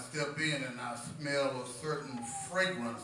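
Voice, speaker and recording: With audible room echo and noticeable background noise, a man speaks fairly slowly with ordinary pitch variation. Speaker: preacher. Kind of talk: sermon. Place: church.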